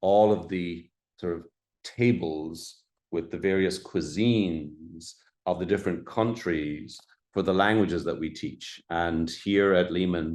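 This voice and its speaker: With an Irish accent, a man speaks at a very deep, low pitch and a fairly slow pace, with fairly even intonation, against a quiet background. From Ireland. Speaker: college dean. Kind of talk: presentation. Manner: halting, many fillers.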